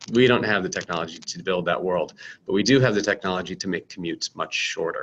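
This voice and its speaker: A man with a very deep, low pitch in an American accent. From United States. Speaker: startup founder and CEO. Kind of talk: product presentation. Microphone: webcam.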